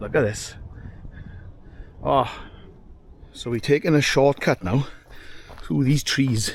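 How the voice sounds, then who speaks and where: At a fairly slow pace with long, frequent pauses, a man of medium pitch speaks with vocal fry and ordinary pitch variation. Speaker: hiking vlogger. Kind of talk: casual vlog narration. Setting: outdoors. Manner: animated.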